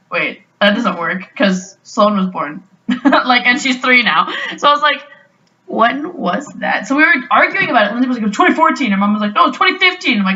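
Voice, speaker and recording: Loud and high-pitched, a woman with a Canadian accent speaks at a fairly quick pace with very wide pitch swings. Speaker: podcast host. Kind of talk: casual chat.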